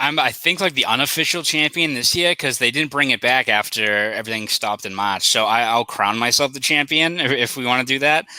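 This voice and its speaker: A man with a Boston accent speaks at a fairly quick pace with hardly any pauses. His medium-pitched voice has a bright, sharp tone and ordinary pitch variation. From Boston, South Boston. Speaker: sports journalist. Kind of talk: casual chat.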